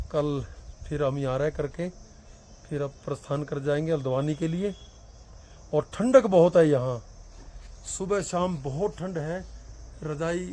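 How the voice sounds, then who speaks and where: A man's dark, mellow tone at a fairly high pitch, broken by long, frequent pauses. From Haryana, India. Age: 50s. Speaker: teacher. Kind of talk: travel vlog narration.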